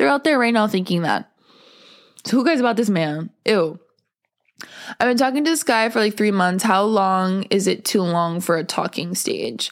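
A woman speaks at medium pitch with lively intonation and very even loudness, at a moderate pace. She pauses long and often, in a very clean recording with a silent background. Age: 20s. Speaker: podcast host. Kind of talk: casual chat. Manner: casual, filler-heavy.

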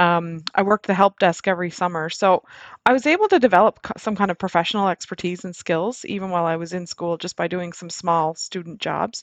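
With a plain, everyday voice, a woman speaks at a fairly low pitch and fairly quick pace, her intonation fairly even but her loudness swinging widely. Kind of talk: interview.

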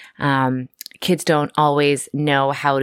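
The recording is very clean with a silent background, and the woman's pitch is very deep and low for a woman. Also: dry, close sound with no echo. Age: 30s. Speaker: school psychologist, podcast host. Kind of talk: educational monologue.

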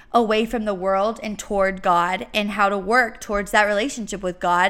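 A woman's fairly high, bright, sharp voice with a Texan accent at a moderate pace, on a very clean recording with a silent background. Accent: Texan Southern US. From East Texas. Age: 19. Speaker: faith podcaster, college student. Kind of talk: casual faith talk monologue.

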